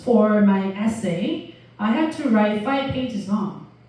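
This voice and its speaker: A woman speaks at a fairly slow pace with lively intonation. Noticeable background noise sits behind her. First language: not English. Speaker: university lecturer. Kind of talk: lecture. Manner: halting, many fillers.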